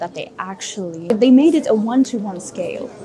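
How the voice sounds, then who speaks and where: The speaker is a woman with a non-native accent. Noticeable background noise is present. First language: not English. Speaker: travel vlogger. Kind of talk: travel vlog narration. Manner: animated.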